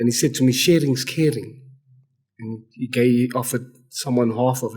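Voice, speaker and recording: Somewhat breathy, a man speaks at a moderate pace. His intonation stays fairly even. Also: medium pitch for a man, big swings in loudness. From South Africa. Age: 30s. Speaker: addictions specialist. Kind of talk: casual chat. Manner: halting.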